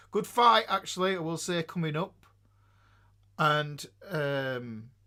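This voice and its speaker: A man with an English accent, fairly high in pitch, with a bright, sharp tone, lively intonation and a fairly slow pace, on a very clean recording with a silent background. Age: 50s. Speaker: live streamer. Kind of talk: casual live stream chat. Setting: live stream. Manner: halting, many fillers.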